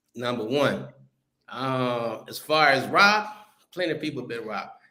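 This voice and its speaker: This man has a fairly high pitch and a bright, sharp tone, with lively intonation. He talks at a moderate pace, and the room echo is audible. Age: 60s. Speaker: travel content creator. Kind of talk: casual chat. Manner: animated, heated.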